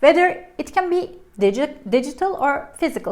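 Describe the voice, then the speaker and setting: Her pitch swings very widely. She is a woman speaking with a Turkish accent. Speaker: language teacher. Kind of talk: tutorial. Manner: casual, halting with self-corrections.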